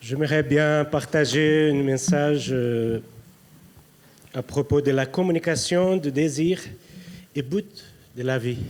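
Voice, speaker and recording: A man with a Brazilian accent talks at a very slow pace with ordinary pitch variation. Long, frequent pauses break up his speech. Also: fairly high pitch for a man. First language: Portuguese (speaking French). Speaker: preacher. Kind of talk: sermon. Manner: halting.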